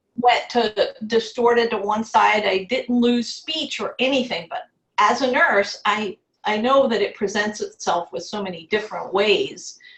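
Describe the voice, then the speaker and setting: With an ordinary speaking voice, a woman talks at a fairly slow pace in a fairly high pitch with ordinary pitch variation. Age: 60s. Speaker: stroke survivor and entrepreneur. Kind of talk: interview testimony.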